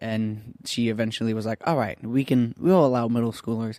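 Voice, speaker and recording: A man with a Southern Californian accent speaks at a fairly quick pace in a medium pitch. The recording is very clean, with a silent background. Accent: Southern California American. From Orange, California. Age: 20s. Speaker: church youth ministry worker. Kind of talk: casual interview chat.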